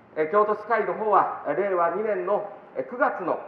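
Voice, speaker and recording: Amid light background noise and audible room echo, a man speaks at a fairly slow pace with a high pitch and ordinary pitch variation. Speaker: local politician. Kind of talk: street campaign speech. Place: street. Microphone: camera far.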